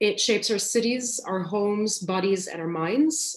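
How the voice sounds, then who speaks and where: A woman's voice carries audible room echo. The background is quiet. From Lebanon. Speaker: graphic designer. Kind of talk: lecture. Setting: video call. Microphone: video call.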